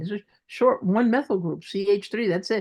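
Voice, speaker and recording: A woman with a Brooklyn accent against a quiet background. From Brooklyn, New York.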